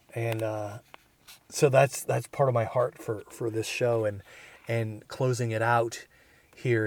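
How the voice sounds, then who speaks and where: Flat, monotone delivery from a man at a medium pitch, very slow and somewhat breathy, in a very clean recording with a silent background. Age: 50s. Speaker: podcast host. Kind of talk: reflective solo monologue. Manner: halting.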